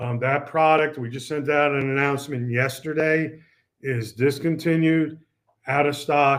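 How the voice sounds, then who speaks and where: At a fairly slow pace, a man speaks with a monotone, flat intonation against a quiet background. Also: fairly high pitch for a man. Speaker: product presenter for an audio equipment maker; product trainer. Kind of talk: product webinar presentation. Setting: online webinar. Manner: halting with many fillers. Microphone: webcam.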